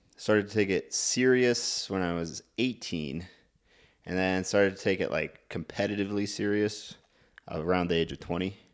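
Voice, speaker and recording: On a very clean recording with a silent background, a man with an American accent uses an ordinary speaking voice, fairly low in pitch, with ordinary pitch variation at a moderate pace. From Montana. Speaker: bodybuilder and fitness coach. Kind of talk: casual chat.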